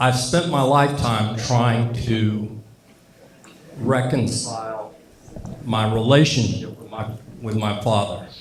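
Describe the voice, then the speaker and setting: A man speaks very slowly at a medium pitch with fairly even intonation and big swings in loudness, amid noticeable background noise and audible room echo. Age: 60s. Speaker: Air Force veteran speaking at a tribute event. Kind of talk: speech at a tribute event. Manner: halting.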